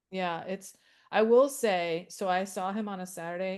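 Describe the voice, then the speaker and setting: A woman at a medium pitch uses a normal speaking voice with fairly even intonation. She talks at a fairly slow pace against a quiet background. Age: 60s. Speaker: support group facilitator. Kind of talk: casual chat.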